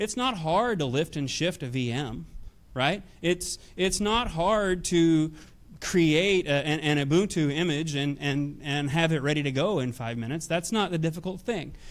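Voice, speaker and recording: A man talks at a moderate pace. His pitch sits fairly high, with ordinary variation. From US South, Nashville, Tennessee. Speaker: technology executive. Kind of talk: conference talk. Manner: hesitant, many fillers.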